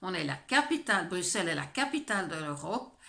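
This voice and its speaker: An animated woman talks at a moderate pace with noticeable background noise behind her. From Belgium, French-speaking. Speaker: vlogger. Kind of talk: personal vlog. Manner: animated, indignant; hesitant, many fillers.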